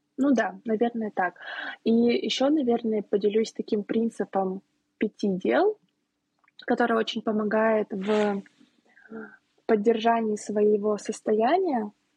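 In a dark, mellow, somewhat breathy tone, the voice moves at a very slow pace with long, frequent pauses, very even loudness and ordinary pitch variation, heard dry and close with no echo. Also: woman, fairly high pitch for a woman. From Saint Petersburg, Russia. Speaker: planning coach and pastry shop owner. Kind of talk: casual podcast conversation.

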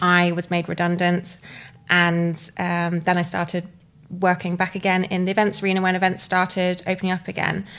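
A woman talks at a fairly quick pace with monotone, flat intonation. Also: fairly low pitch for a woman. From southern England (Bournemouth). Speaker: storytelling business co-founder. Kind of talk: interview.

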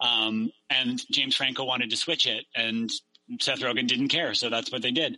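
A man speaks at a moderate pace in a Canadian accent. His intonation stays monotone and flat. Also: medium pitch for a man. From Victoria, British Columbia, Canada. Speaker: stand-up comedian. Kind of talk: casual chat.

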